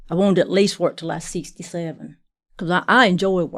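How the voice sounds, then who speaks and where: Her voice plain and everyday, a woman speaks fairly quickly at a fairly low pitch with ordinary pitch variation. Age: 60s. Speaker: patient, factory worker. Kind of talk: casual interview.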